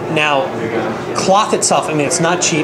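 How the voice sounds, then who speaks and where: Loud background noise fills the clip. Over it, a man speaks at a fairly quick pace. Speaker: video host and pool equipment seller. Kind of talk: product review interview. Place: hall.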